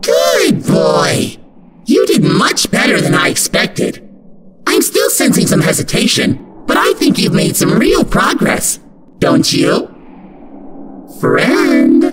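A raspy man's voice, extremely high in pitch, at a very slow pace. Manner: condescending, sugary menace.

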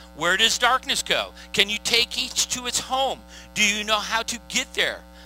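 With music in the background, a man speaks at a fairly slow pace in a dry sound with no echo. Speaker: pastor. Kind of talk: sermon scripture reading. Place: stage. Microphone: headset.

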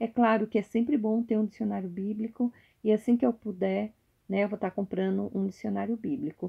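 Somewhat breathy woman's voice at a fairly quick pace, ordinary pitch variation, quiet background. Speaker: YouTuber. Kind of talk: casual show-and-tell vlog. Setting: at home at night. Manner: halting, repetitive. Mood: warm, devotional. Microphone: phone near.

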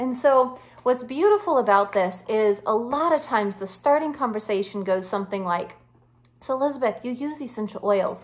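Intonation stays lively while the pace holds moderate. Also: woman, high pitch for a woman. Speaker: wellness coach. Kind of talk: tutorial. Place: home room. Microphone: phone near.

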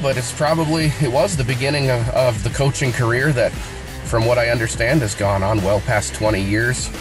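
A man keeps a moderate pace as music plays clearly behind him. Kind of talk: personal video message. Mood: sincere, reflective. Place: car. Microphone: phone near.

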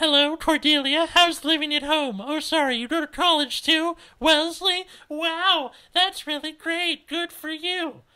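Extremely high-pitched put-on character voice from a man. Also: moderate pace. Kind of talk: falsely sweet. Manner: mocking.

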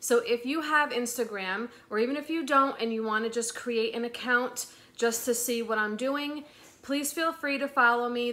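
A woman speaks at a moderate pace in a high, bright and sharp voice, her intonation fairly even. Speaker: resale vlogger. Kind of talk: casual vlog chat. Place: home room. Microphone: phone near.

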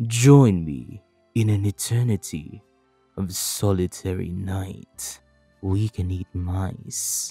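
Over faint music in the background, a man in a put-on character voice speaks very slowly at a very deep, low pitch. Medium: dub. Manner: dramatic, brooding.

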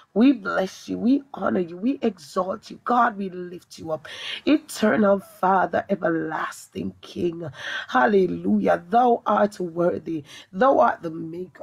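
In a normal speaking voice, a woman of medium pitch talks at a fairly slow pace, her intonation lively and her loudness swinging widely. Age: young. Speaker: evangelist. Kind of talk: prayer and preaching. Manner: fervent, speaks in tongues.

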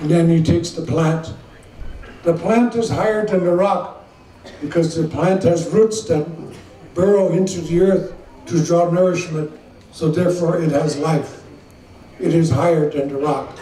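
The speech moves at a moderate pace with ordinary pitch variation and long, frequent pauses. Audible room echo and light background noise are present. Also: man, high pitch for a man. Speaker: speaker. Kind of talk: formal public address. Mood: slow, solemn, measured. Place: tent. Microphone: podium.

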